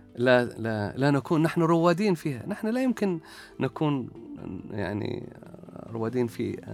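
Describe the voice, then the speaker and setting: Over music in the background, a man speaks at a fairly high pitch and fairly slow pace with very wide pitch swings. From Oman, Salalah (Dhofar). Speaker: academic researcher. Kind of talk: interview. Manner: halting.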